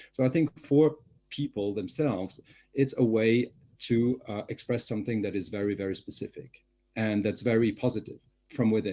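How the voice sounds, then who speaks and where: A man speaks with a French accent in a medium-pitched, dark, mellow voice with ordinary pitch variation. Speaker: communications professional, webinar panelist. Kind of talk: panel discussion.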